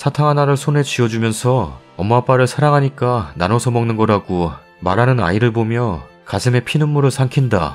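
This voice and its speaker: A man at a medium pitch and a moderate pace, with music in the background. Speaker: story narrator reading online forum stories. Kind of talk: first-person story narration.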